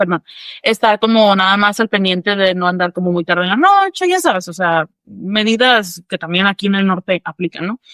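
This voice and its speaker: At a moderate pace, a woman speaks with a medium pitch and fairly even intonation. Her voice comes through dry and close, with no echo. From northern Mexico. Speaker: psychologist. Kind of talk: podcast interview.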